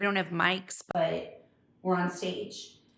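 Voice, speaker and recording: A woman speaks at a medium pitch with vocal fry and an American accent. Her intonation is monotone and flat. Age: 40s. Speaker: hairdresser. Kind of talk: casual chat.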